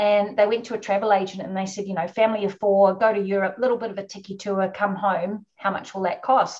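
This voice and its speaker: A woman with a New Zealand accent talks very fast at a medium pitch. Her intonation is monotone and flat, over a quiet background. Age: 50s. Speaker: orca researcher. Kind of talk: webinar interview.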